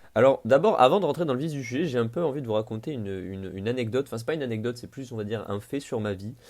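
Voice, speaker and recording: Speaking very fast with hardly any pauses, a man at a medium pitch shows ordinary pitch variation in a very clean recording with a silent background. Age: 20s. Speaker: podcaster. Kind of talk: improvised solo podcast monologue. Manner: casual, with frequent hesitations.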